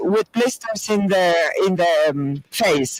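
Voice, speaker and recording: Very slowly, a man speaks in a dry, close sound with no echo, though noticeable background noise is present. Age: 60s. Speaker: panel speaker. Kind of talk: panel discussion.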